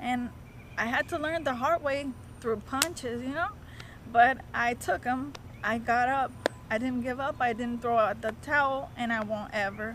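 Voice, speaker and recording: Noticeable background noise sits under a woman's high-pitched voice, which has ordinary pitch variation. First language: not English. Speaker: non-profit founder. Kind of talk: casual interview chat. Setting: sitting face to face. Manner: slow.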